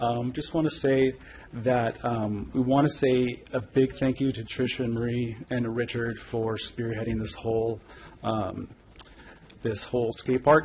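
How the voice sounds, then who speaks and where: A man with a Californian accent at medium pitch, fairly slow and monotone with flat intonation, amid noticeable background noise. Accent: Californian American. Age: 40s. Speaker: public commenter. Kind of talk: public comment. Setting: city council meeting. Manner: hesitant, many fillers. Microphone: too far from the mic.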